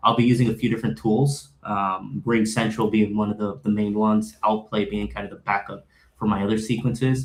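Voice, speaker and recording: Talking at a fairly quick pace, a man with a Puerto Rican accent shows ordinary pitch variation. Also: fairly low pitch for a man. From Puerto Rico. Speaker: sales account executive. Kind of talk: panel discussion.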